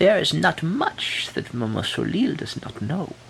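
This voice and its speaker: With clear background noise, a man uses a put-on character voice, pitched high and delivered at a moderate pace. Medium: read story. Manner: ominous, slow, knowing.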